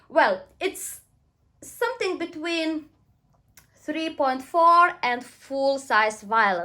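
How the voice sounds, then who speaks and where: A woman uses a raised, projected voice with a bright, sharp tone and an extremely high pitch that swings very widely. She goes at a very slow pace with long, frequent pauses, on a very clean recording with a silent background. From Lithuania. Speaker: violinist. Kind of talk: casual video talk.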